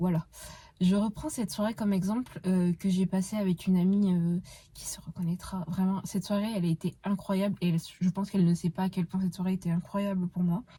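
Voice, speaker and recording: The voice moves at a fairly quick pace, its dark, mellow tone somewhat breathy and its intonation monotone and flat. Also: woman. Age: 20s. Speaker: podcast host. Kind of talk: casual monologue. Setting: in a car. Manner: hesitant, many fillers.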